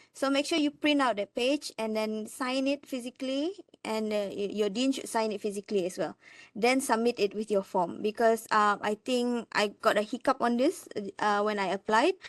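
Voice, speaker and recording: A woman's fairly high, plain, everyday voice at a moderate pace, with ordinary pitch variation, a dry, close sound with no echo and a quiet background. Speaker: lecturer. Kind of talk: presentation.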